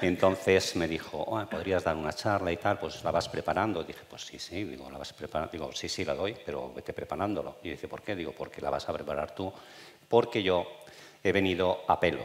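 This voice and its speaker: The speech moves at a fairly quick pace, with big swings in loudness. Background noise is noticeable. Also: man, very deep, low pitch for a man, ordinary pitch variation. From Spain, Burgos province. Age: 60s. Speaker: retired oncologist. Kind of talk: public talk, interview. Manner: spontaneous, unscripted.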